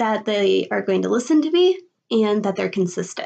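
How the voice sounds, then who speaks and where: A woman with a Midwestern US accent, quiet background. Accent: US Midwest. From Illinois, Chicago area. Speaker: college student. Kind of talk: video presentation.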